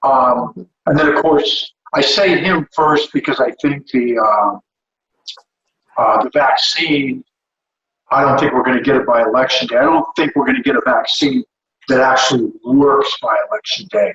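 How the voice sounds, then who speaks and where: Man's voice at very even loudness, with a dry, close sound and no echo. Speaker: comedian. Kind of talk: casual chat. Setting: video call. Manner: deliberately slow-paced speech.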